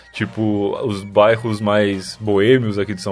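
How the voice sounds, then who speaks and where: Noticeable background noise sits behind a man's voice. He speaks fairly low and in a monotone, flat way. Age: 20s. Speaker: podcaster. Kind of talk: casual chat. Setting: remote call.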